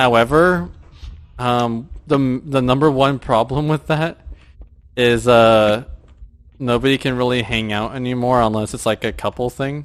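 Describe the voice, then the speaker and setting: With long, frequent pauses, this man talks fairly slowly at a medium pitch, his intonation fairly even. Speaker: gamer streamer. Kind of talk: casual chat. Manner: loud when gaming with friends.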